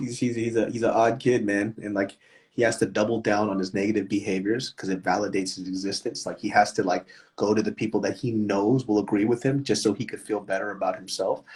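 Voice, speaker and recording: A man speaks at a very fast pace in a fairly low pitch. His voice is somewhat breathy. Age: 30s. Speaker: comedian. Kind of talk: casual chat. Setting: instagram live stream. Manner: animated.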